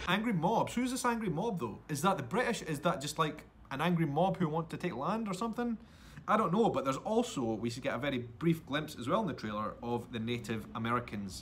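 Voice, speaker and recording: A man with a Scottish accent talks at a fairly quick pace, his pitch swinging very widely. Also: fairly high pitch for a man. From Edinburgh, Scotland. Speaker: YouTube vlogger, podcast host. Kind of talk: casual podcast talk.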